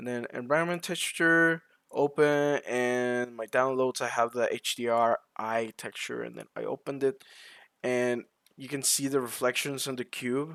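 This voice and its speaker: Recorded with a dry, close sound and no echo, a man speaks at a moderate pace in a medium pitch, his intonation fairly even but his loudness swinging widely. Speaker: blender tutorial creator. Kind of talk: tutorial. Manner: casual, hesitant with fillers.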